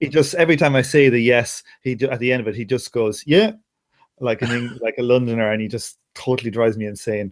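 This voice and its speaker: This man, with an Irish accent, talks at a fairly quick pace in a medium pitch with ordinary pitch variation. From Ireland. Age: 30s.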